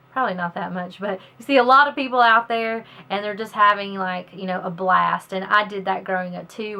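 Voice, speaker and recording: With a Southern US accent, a woman speaks in fairly even intonation. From US South, northern Alabama. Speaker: author. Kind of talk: casual self-introduction to camera. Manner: hesitant, many fillers and repeats.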